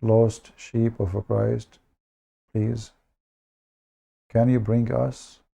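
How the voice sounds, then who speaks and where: The man's tone is dark and mellow, his intonation flat and monotone. He speaks at a very slow pace. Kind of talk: livestream talk to viewers. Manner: halting, with filler words.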